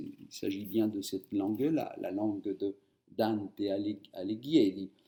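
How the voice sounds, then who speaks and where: A man's fairly slow speech in a Spanish accent. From Argentina, Buenos Aires. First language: Spanish (speaking French). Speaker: writer. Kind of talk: interview.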